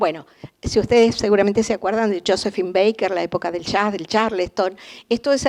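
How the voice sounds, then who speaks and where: A woman's ordinary speaking voice, medium in pitch, with fairly even intonation. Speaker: art historian lecturer. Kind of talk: lecture.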